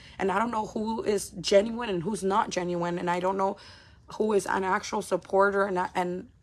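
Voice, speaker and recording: A woman speaks in an animated tone at a medium pitch. Noticeable background noise runs behind her. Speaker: live streamer, content creator. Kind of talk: casual livestream monologue. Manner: fast, animated.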